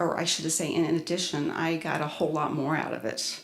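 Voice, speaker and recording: A woman's voice with audible room echo. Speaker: spiritual workshop presenter. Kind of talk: presentation to an audience. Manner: halting, with many fillers.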